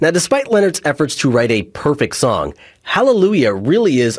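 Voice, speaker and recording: A man speaks at a moderate pace with vocal fry. His pitch swings very widely over a quiet background. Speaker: radio host. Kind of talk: radio DJ patter, upbeat and chatty between songs. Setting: studio. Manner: animated; warm, casual, friendly.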